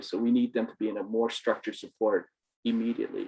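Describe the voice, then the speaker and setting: A man talks at a very fast pace. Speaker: community services board clinician. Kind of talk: panel discussion.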